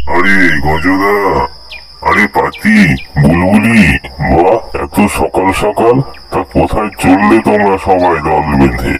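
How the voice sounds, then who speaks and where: Over loud background noise, a man does a cartoonish character voice at a very deep, low pitch and a fairly slow pace. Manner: lively, friendly.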